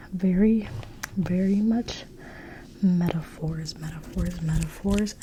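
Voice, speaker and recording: A woman whispers at a fairly slow pace. She is soft-spoken. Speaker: ASMR creator, Bible study reader. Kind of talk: ASMR Bible study ramble. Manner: soft-spoken, whispery, repeating words.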